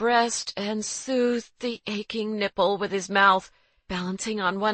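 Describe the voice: Fairly even intonation in plain reading aloud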